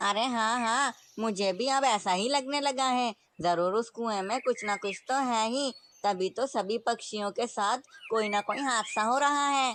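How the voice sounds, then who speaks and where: Someone uses a cartoonish character voice at a moderate pace. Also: female-sounding voice, fairly high pitch for a woman. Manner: lively, teasing.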